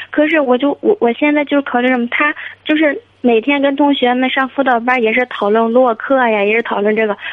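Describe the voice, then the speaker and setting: Her loudness very even, a woman speaks at a high pitch and a fairly quick pace with ordinary pitch variation. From Hebei, China. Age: 30s. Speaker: caller, supermarket owner. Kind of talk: phone-in advice call.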